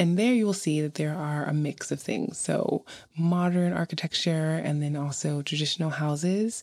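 A woman with a New York accent talks at a moderate pace in a very deep, low voice with ordinary pitch variation. The recording is very clean, with a silent background. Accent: New York American. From Brooklyn, New York. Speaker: podcaster and YouTuber. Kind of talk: travel narration.

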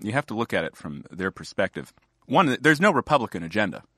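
A fairly quick voice with very wide pitch swings, a bright, sharp tone and vocal fry, in a dry, close sound with no echo and a quiet background. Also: man. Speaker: magazine editor. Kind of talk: casual political conversation.

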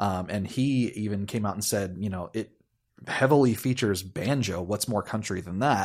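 A man speaks at a moderate pace with a fairly low pitch, ordinary pitch variation and an unremarkable speaking voice. The recording is very clean, with a silent background. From US. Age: 30s. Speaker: musician and friend of host. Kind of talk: casual chat.

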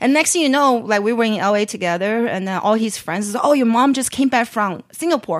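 A woman speaks with a Chinese accent at a fairly quick pace. Her fairly high voice has lively intonation. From Beijing, China. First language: Mandarin Chinese. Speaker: chef and entrepreneur. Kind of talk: casual interview chat.

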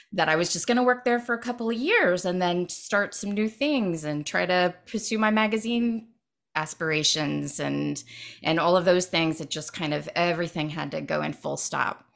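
A woman with an American accent and an ordinary speaking voice talks at a moderate pace in a fairly low pitch with lively intonation. The recording is very clean, with a silent background. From Ohio, US Midwest. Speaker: writer and writing workshop leader. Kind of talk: casual interview chat.

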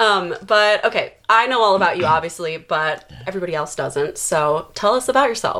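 With an ordinary speaking voice at medium pitch, a woman talks at a moderate pace with lively intonation and hardly any pauses. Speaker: podcast host. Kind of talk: casual interview chat.

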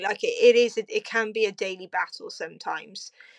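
With a Cardiff accent, a woman talks at a moderate pace. The background is quiet. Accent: Welsh (Cardiff). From South Wales, Cardiff. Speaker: podcast guest, type 1 diabetic. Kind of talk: casual interview.

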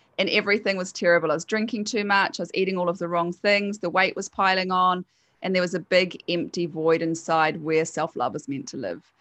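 Speaking at a fairly quick pace, a woman has a New Zealand accent. Her medium-pitched voice shows ordinary pitch variation. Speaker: hypnotherapist. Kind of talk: casual interview chat.

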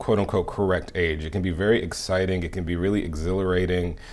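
An ordinary speaking voice delivers the words at a fairly quick speed. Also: man. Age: 30s. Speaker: TV series creator and film director. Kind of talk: interview.

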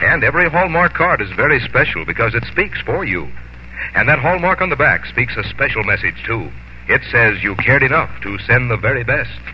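Noticeable background noise fills the recording. Over it, a man talks at a fairly quick pace. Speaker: radio announcer. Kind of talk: radio commercial and announcements.

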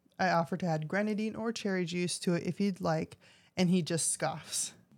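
With a plain, everyday voice, a woman speaks fairly low in pitch and at a fairly quick pace in a very clean recording with a silent background. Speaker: co-host, bar patron. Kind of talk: casual chat and reading stories aloud. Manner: playful, laughs often.

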